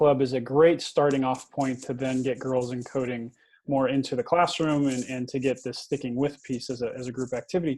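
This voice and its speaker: Speaking at a fairly quick pace, a man with an American accent has a dark, mellow tone. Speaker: education technology vlogger. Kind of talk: interview.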